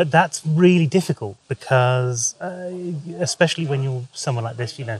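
At a moderate pace, a man talks in a somewhat breathy voice with ordinary pitch variation and a dry sound with no echo. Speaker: photographer vlogger. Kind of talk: casual vlog chat. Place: street. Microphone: phone near.

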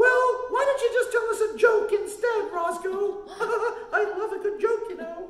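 This is a cartoonish character voice at an extremely high pitch. A slight echo can be heard. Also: moderate pace. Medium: puppet.

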